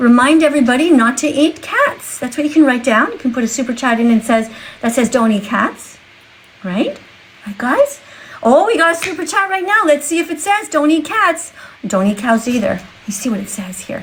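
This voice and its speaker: The pitch swings very widely throughout. Noticeable background noise is present. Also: woman, high pitch for a woman, moderate pace. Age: 60s. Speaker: vegan activist livestreamer. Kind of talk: livestream chat with viewers. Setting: TikTok live stream. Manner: animated.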